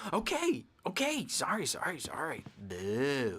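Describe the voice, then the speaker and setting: The voice is a put-on character voice. It has a low-to-middle pitch and a fairly slow pace. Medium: video game. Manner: childish, excitable.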